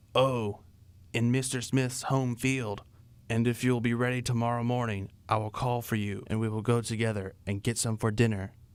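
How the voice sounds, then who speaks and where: In a very clean recording with a silent background, a man does a put-on character voice at medium pitch and a moderate pace, with monotone, flat intonation. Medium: read story. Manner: sly.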